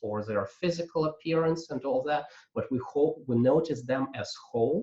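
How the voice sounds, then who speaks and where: A man's fairly high, somewhat breathy voice with a non-native accent and lively intonation. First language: not English. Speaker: coaching trainer. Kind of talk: lecture. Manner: halting, many fillers.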